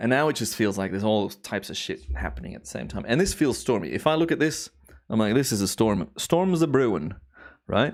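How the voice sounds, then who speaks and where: Speaking at a fairly quick pace, a man with a medium pitch and vocal fry sounds animated, his pitch swinging very widely, in a very clean recording with a silent background. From Belgium (Flemish). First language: Dutch (Flemish). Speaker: timelapse photographer and streamer. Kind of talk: casual live stream commentary.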